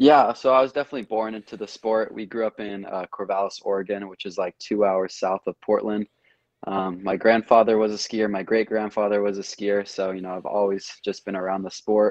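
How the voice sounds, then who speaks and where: Speaking fairly quickly in a normal speaking voice, a man with an American accent keeps a fairly even intonation at a fairly low pitch. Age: under 20 (just turned 18). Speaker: junior water skier and student pilot. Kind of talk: interview. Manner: casual, relaxed.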